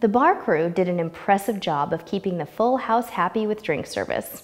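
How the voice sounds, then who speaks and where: A woman's lively intonation at a moderate pace. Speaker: travel vlog host. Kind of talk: scripted travel review. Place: studio. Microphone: lapel.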